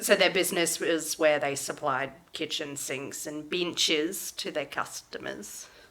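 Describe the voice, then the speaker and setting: A woman with an Australian accent and a very deep, low pitch, at a fairly slow pace with hardly any pauses and ordinary pitch variation, over noticeable background noise. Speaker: true crime podcast host. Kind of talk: casual chat. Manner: animated.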